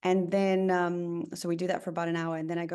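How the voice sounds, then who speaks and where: With a South African accent, a woman speaks at a fairly quick pace in a dark, mellow tone and fairly low pitch. The background is quiet. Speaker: tech company founder and CEO. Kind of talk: podcast interview.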